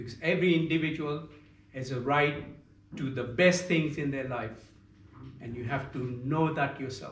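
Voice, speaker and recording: With audible room echo, a man with a fairly high pitch speaks at a moderate pace, making long, frequent pauses and big swings in loudness. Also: ordinary pitch variation. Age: 70s. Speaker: yoga teacher. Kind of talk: yoga class talk.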